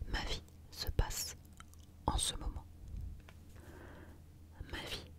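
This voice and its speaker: Whispering with a calm, gentle tone, a woman speaks at a very slow pace over noticeable background noise. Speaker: ASMR creator. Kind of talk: ASMR positive affirmations for sleep. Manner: soft, calm, gentle.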